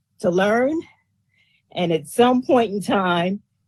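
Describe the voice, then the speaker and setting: Woman with a New York accent, medium pitch, lively intonation and a fairly slow pace. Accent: New York accent, still noticeable. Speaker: resident giving testimony. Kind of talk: public testimony.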